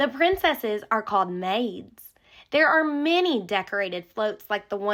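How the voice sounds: A natural reading voice full of lively intonation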